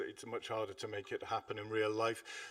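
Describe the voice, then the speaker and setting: A man talking at a fairly quick pace. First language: not English. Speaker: air traffic network operations speaker. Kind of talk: conference presentation. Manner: hesitant, many fillers.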